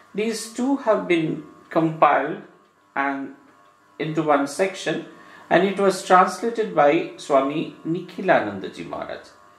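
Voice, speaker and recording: Over background music and audible room echo, a man speaks in a Bengali accent at a fairly slow pace. His pitch is high and his intonation lively. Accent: Indian English, Bengali. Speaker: monk giving religious discourse. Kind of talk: lecture. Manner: halting.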